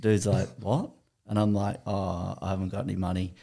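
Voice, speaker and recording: Words are delivered at a moderate pace. The speaker uses an Australian accent. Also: man. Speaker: podcast guest. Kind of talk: casual chat. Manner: animated.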